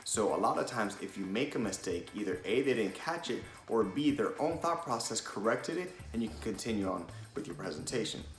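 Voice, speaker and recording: Fairly quick speech from a man at medium pitch, with very wide pitch swings, audible room echo and music in the background. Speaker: presentation skills coach. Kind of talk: tutorial. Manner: fast.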